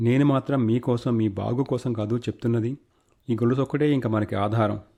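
An unforced reading voice carries the clip.

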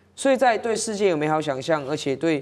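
A woman with a very deep, low voice talks at a fairly quick pace. Her intonation is lively. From Taiwan. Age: 30s. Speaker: city councillor. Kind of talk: political talk show discussion. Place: studio. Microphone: lapel.

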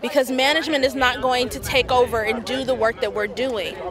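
A woman talks at a fairly quick pace with ordinary pitch variation, the sound dry with no echo and crowd noise in the background. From San Francisco, Bayview Hunters Point. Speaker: medical examiner's office worker. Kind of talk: protest speech. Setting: outdoor rally. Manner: impassioned, building call-and-response testimony; emotional, near tears recounting indignities. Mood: earnest, concerned. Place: street. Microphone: handheld.

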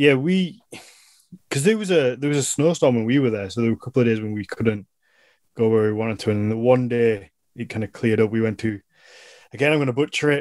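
A man with a Yorkshire accent, very fast yet broken by long, frequent pauses, with ordinary pitch variation, a dry sound with no echo and a quiet background. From northern England. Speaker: podcast host and business owner; podcast host. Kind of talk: casual chat. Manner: animated. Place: home room. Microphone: video call.

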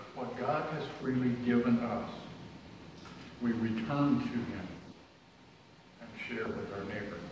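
A man with a medium-pitched voice and ordinary pitch variation speaks at a fairly slow pace, pausing long and often. Strong room echo and noticeable background noise fill the recording. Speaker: lay speaker. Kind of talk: sermon. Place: church. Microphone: camera far.

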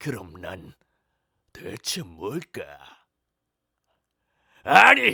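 A raspy, put-on character voice from a man at a fairly high pitch, on a very clean recording with a silent background. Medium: voice reel. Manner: eerie, brooding.

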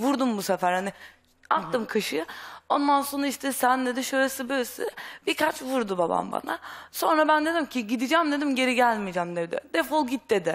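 Over a quiet background, a woman speaks at a fairly quick pace in a high pitch with very wide pitch swings. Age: young. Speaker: runaway daughter; talk show guest. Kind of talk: testimony. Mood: upset, earnest. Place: studio. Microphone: headset.

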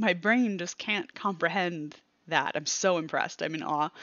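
Over a quiet background, a woman speaks at a fairly slow pace and a fairly low pitch with ordinary pitch variation, the sound dry with no echo. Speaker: cross stitch hobby vlogger. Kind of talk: casual vlog chat. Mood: cheerful, animated. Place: home room. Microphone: headset.

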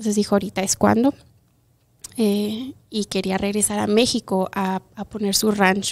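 Her pace is moderate and her pitch is medium for a woman. She speaks with a monotone, flat intonation. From Chihuahua, Mexico, then Montrose, Colorado; Chihuahua, Mexico. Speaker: kindergarten teacher. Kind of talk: interview. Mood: warm, heartfelt. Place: studio. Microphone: studio mic.

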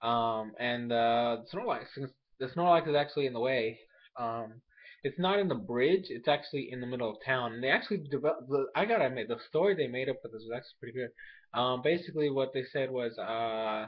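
A man's medium-pitched voice at a fairly quick pace, with ordinary pitch variation against a quiet background. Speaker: anime review youtuber; anime episode reviewer. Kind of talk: casual video review. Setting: at home while others sleep. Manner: quiet, speaking softly; hesitant, many fillers. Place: home room. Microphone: webcam.

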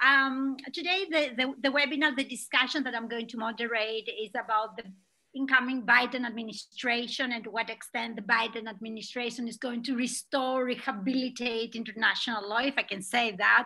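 In a quiet background, a woman with a high, bright, sharp voice talks at a fairly quick pace with fairly even intonation and hardly any pauses. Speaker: webinar moderator. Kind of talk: introduction of speakers. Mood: warm, smiling. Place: home room. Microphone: webcam.

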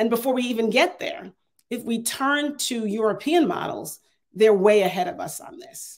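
A woman's fairly high pitch with very wide pitch swings, big swings in loudness and a moderate pace. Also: quiet background. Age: 50s. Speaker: AI consultant and adjunct professor; adjunct professor. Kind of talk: keynote talk with Q&A. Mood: earnest, persuasive. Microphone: earbuds.

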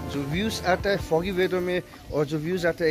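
There is music in the background as a man speaks at a high pitch. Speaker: travel vlogger. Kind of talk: casual vlog chat. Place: street. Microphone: phone near.

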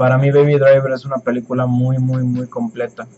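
At a medium pitch, a man speaks in a flat, monotone way. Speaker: YouTuber. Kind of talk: Q&A vlog. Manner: halting.

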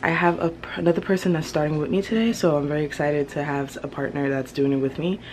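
The speech comes at a fast pace, with a slightly mellow tone and fairly even intonation. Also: woman, low pitch for a woman.

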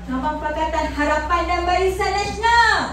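A woman's extremely high-pitched voice with strong room echo and light background noise. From Malaysia, Pahang; Malaysia. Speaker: politician; speaker. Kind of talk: political rally speech; rally speech. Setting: stage with audience. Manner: animated. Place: hall. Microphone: pa.

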